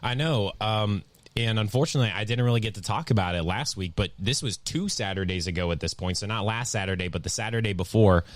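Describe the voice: The speech moves at a fast pace with ordinary pitch variation. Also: man, fairly low pitch for a man.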